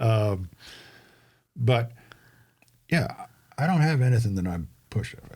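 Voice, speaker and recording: Lively intonation marks this man's fairly slow delivery. There is a somewhat breathy quality to his voice. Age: 70s. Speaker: veteran and local city council candidate. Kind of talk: casual chat.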